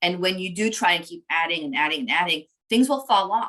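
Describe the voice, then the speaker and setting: A woman with a fairly low voice speaks at a fairly quick pace, her tone bright and sharp and her intonation lively. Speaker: lawyer and webinar presenter. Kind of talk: webinar presentation. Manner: fast.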